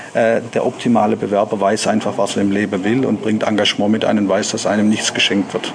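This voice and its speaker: Over noticeable background noise, a man with a fairly low pitch talks at a fairly quick pace with hardly any pauses, very even loudness and a flat, monotone intonation. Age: 40s. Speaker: company managing director. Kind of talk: interview.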